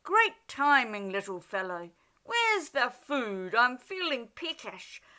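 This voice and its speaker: A woman's high-pitched, put-on character voice with very wide pitch swings at a fairly slow pace. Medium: read story.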